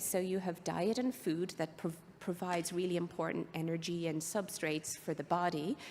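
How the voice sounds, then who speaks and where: A woman speaks with an Irish accent at a moderate pace. Her pitch is fairly low. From Ireland. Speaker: biotech executive and physician. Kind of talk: conference presentation.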